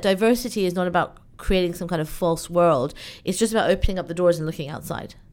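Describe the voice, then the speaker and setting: The recording is very clean, with a silent background. A woman speaks at a fairly low pitch with ordinary variation. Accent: British. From UK (born in Iran, moved at two). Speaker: event organizer. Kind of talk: interview conversation.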